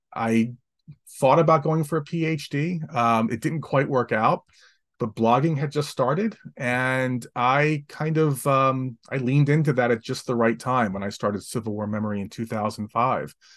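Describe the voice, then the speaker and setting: Speaking in an American accent, a man uses a normal speaking voice at medium pitch. His pace is fairly slow against a quiet background. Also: ordinary pitch variation. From New Jersey, Atlantic City. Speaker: historian and author. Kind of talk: interview.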